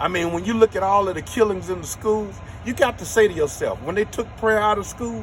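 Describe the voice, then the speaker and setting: Talking at a fairly quick pace with an American accent, a man uses a high pitch and ordinary pitch variation over noticeable background noise. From Los Angeles, US West Coast. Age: 60s. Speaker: filmmaker. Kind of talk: interview.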